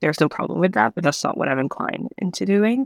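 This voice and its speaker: A woman's voice with vocal fry comes through a very clean recording with a silent background and a dry, close sound with no echo. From Burundi, raised in Canada. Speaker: visual artist. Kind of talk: casual conversation.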